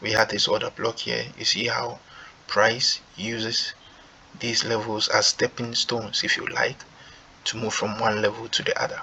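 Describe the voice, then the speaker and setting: Moderately paced speech from a man, noticeable background noise underneath. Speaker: forex trading youtuber. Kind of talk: tutorial. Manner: low volume.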